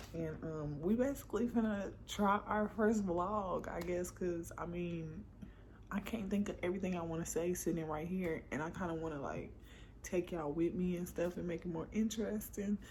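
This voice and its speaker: Somewhat breathy, a woman speaks at a fairly low pitch with ordinary pitch variation. Audible room echo surrounds her voice. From Sherman, Texas. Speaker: vlogger. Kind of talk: casual vlog. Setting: at home. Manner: fast.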